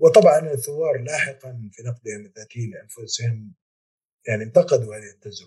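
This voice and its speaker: The voice is somewhat breathy, with ordinary pitch variation. Loudness swings widely, and the pace is moderate. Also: man, medium pitch for a man. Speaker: historian, professor. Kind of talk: interview.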